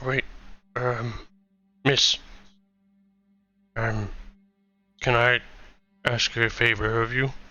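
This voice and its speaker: A man's raspy, put-on character voice at a medium pitch and a very slow pace. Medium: actual play. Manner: soft-spoken.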